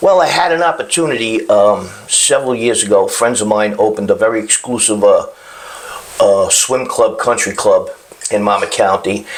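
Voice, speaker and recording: Noticeable background noise sits behind a man talking in a Brooklyn accent. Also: moderate pace, very even loudness. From Brooklyn, New York. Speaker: chef. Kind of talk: casual chat.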